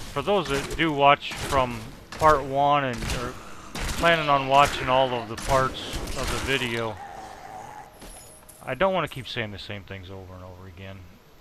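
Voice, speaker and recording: Amid audible room echo and noticeable background noise, a man at a medium pitch talks at a moderate pace with lively intonation, long, frequent pauses and big swings in loudness. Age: 40s. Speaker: gamer. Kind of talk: gameplay commentary. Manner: halting.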